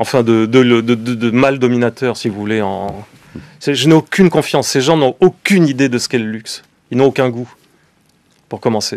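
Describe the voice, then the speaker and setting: A man speaks at a medium pitch and moderate pace with ordinary pitch variation. His pauses are long and frequent. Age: 60s. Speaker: fashion company founder and business owner. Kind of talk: radio interview. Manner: hesitant with many fillers.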